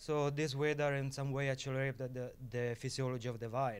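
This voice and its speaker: A man talks with a strong Sicilian accent. His pitch is medium, with fairly even intonation. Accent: heavy Sicilian Italian. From Sicily, Italy. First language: Italian. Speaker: viticulturist. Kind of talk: panel talk. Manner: halting, many fillers.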